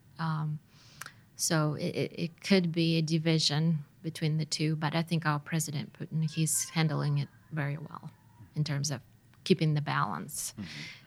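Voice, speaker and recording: A woman's somewhat breathy, very deep and low voice with a Russian accent, a flat monotone delivery, and a moderate pace. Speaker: missionary's wife. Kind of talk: casual interview. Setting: studio. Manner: hesitant, many fillers.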